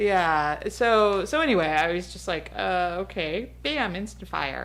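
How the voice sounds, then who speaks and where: Here a woman is speaking. Audible room echo fills the recording. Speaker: podcast co-host. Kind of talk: casual chat.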